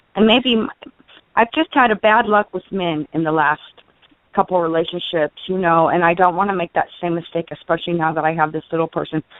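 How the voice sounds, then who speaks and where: This woman has a plain, everyday voice, fairly low in pitch with ordinary pitch variation. She speaks at a fairly quick pace. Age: 40s. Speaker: caller. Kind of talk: personal call-in question.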